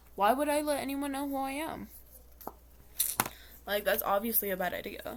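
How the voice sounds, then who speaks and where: Ordinary pitch variation with long, frequent pauses amid noticeable background noise. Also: woman, high pitch for a woman, moderate pace. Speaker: makeup vlogger. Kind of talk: casual chat. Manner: rambling filler-heavy.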